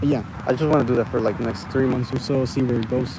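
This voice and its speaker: Noticeable background noise sits behind a man who speaks at a medium pitch. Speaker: vlogger. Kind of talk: casual monologue vlog. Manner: halting, many fillers.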